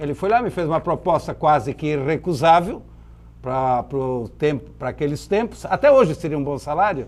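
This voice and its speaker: This man has an ordinary speaking voice, fairly high in pitch, and he talks at a moderate pace. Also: lively intonation. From southern Brazil, Santa Catarina (Blumenau valley). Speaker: businessman. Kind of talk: interview.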